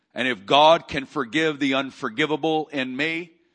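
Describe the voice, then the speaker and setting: With an American accent, a man speaks at a moderate pace in a bright, sharp, animated tone. The background is quiet. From Arkansas, US South. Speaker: preacher. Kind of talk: church Q&A talk.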